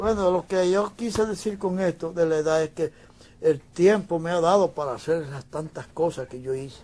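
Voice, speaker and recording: A man's high voice at a moderate pace with ordinary pitch variation. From Dominican Republic. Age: 80s+. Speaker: painter. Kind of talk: interview.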